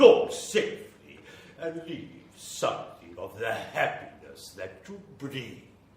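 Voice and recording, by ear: A put-on character voice with very wide pitch swings and a slightly mellow tone. It moves at a slow pace with strong room echo. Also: man, medium pitch for a man.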